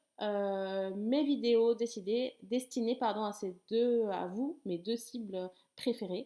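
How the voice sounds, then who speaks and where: A woman's high voice carries a dark, mellow tone with ordinary pitch variation. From southern France, Toulouse. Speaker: sex therapist and life coach. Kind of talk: talking-head explainer video. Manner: casual, with frequent hesitations.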